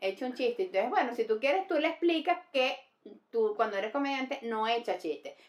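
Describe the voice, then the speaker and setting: This woman's high voice moves at a fairly quick pace and swings very widely in pitch. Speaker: comedian. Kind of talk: casual chat.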